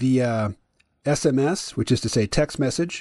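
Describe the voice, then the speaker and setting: A man with an ordinary speaking voice and lively intonation talks at a moderate pace, the sound dry and close with no echo over a quiet background. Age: 50s. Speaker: podcast host. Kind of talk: casual chat with an AI chatbot, some reading aloud.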